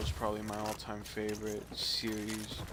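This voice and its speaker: Noticeable background noise and audible room echo surround a man speaking in a fairly low pitch. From US, Miami. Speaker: gamer streamer. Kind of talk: gameplay commentary. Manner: casual, hesitant with fillers.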